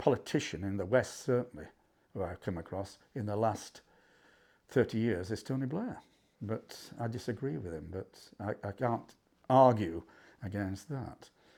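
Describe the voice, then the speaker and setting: A man's fairly low voice with a dark, mellow tone, a moderate pace, ordinary pitch variation and long, frequent pauses. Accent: Yorkshire. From Yorkshire, Barnsley. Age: 70s. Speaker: history professor. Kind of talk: interview. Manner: halting.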